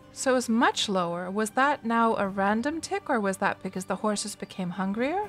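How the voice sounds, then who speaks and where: Music plays behind a woman with a fairly high pitch and lively intonation. Her pace is moderate. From Canada. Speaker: game streamer. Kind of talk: gameplay livestream commentary. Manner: relaxed, thinking aloud.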